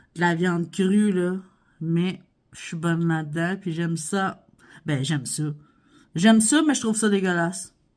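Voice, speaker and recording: Here a woman talks at a fairly slow pace and fairly low pitch, with ordinary pitch variation and long, frequent pauses. The recording is very clean, with a silent background. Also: big swings in loudness. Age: 40s. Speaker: vlogger, stay-at-home mom. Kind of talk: casual Q&A vlog. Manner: animated.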